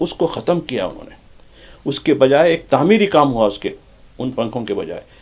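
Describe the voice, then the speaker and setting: A man's lively intonation. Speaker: journalist, studio expert. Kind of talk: TV panel discussion. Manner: animated, interrupting.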